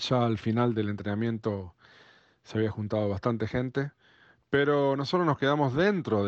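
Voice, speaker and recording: Here a man speaks in a Rioplatense accent. His pitch varies in an ordinary way. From Argentina, Buenos Aires. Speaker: drummer. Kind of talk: recorded personal anecdote.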